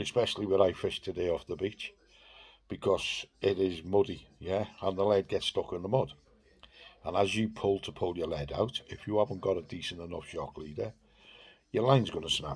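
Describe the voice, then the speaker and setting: A man with a fairly low voice, somewhat breathy, speaks at a moderate pace with ordinary pitch variation. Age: 60s. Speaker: fishing vlogger. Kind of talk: casual vlog talk to camera. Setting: outdoors on a beach.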